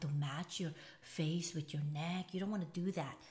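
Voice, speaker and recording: A woman's voice, somewhat breathy. Her pitch varies in an ordinary way. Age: 50s. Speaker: beauty vlogger. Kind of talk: makeup tutorial. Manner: fast; casual, chatty.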